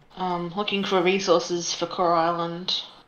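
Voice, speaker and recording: This woman speaks with an Australian accent at a medium pitch. Her delivery is monotone and flat, at a moderate pace. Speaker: stream co-player. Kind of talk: casual chat.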